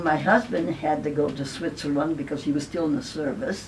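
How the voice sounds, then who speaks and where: A woman talks at a moderate pace. There is audible echo in the room. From Italy, Naples. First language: Italian. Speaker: elderly woman sharing her life story. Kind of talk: personal testimony.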